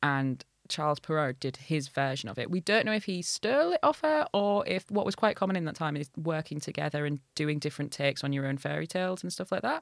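In a very deep, low voice with ordinary pitch variation, a woman talks at a very fast pace with hardly any pauses, recorded very cleanly against a silent background with a dry, close sound and no echo. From northern England, Hull. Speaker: comedian. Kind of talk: casual chat.

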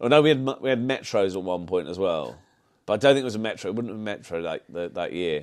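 In a Birmingham accent, a man talks at a very fast pace. His fairly low voice has lively intonation. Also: quiet background. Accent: Brummie. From Birmingham, England (Solihull). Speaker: automotive artist. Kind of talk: casual chat. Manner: halting, many repetitions.

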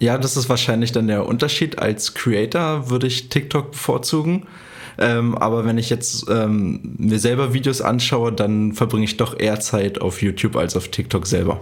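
Keeping his loudness very even, a man speaks at medium pitch and a moderate pace with ordinary pitch variation. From eastern Germany, Cottbus. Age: 20s. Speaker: running content creator. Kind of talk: interview. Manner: cheerful.

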